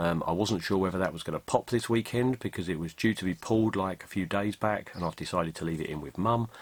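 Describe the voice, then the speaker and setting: A man with an English accent talks with ordinary pitch variation on a very clean recording with a silent background. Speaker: tarantula keeper vlogger. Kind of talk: casual vlog recap. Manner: hesitant, many ums.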